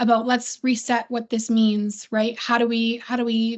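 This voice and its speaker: This woman's pitch runs fairly high. She delivers her words with monotone, flat intonation. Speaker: podcast host and STEM teacher. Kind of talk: casual chat. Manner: fast.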